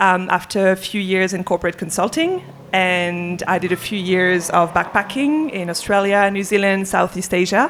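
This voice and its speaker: The speech keeps a moderate pace with ordinary pitch variation and hardly any pauses. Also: woman, medium pitch for a woman. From France. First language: French. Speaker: entrepreneur in sustainability. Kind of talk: panel discussion. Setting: live event with audience.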